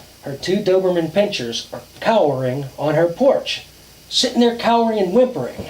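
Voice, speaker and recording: A man's high voice at a moderate pace, with very wide pitch swings and noticeable background noise. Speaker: storyteller. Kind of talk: campfire ghost story telling. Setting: outdoors.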